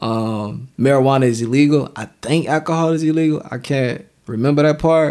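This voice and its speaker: In an unremarkable speaking voice, a man with a fairly high pitch talks at a moderate pace with ordinary pitch variation and hardly any pauses, on a very clean recording with a silent background. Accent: American. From Savannah, Georgia (US South). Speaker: filmmaker, writer and actor. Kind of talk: casual chat.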